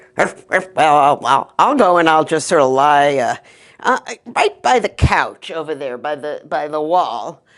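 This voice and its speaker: Someone does a put-on character voice at a middle pitch. The pace is moderate, and the background is quiet. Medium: read story.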